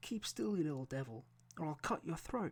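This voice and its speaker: This is a put-on character voice, gruff and low-to-middle in pitch. It moves at a fairly quick pace. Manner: menacing.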